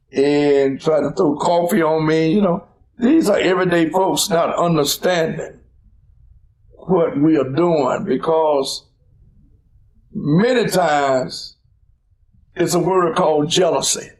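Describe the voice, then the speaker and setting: A man with a high pitch speaks very slowly, with long, frequent pauses, very even loudness and ordinary pitch variation. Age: 70s. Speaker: civil rights leader. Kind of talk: interview. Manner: preacherly, emphatic.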